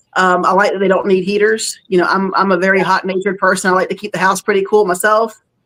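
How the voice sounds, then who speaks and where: With a Southern accent, a woman speaks at a very fast pace in a medium pitch. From North Florida / South Georgia. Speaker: fish hobbyist. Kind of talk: casual chat.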